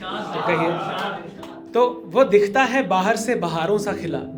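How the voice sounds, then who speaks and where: A man speaking with music in the background. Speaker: spoken word poet. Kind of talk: live open mic poetry performance. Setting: live stage with audience.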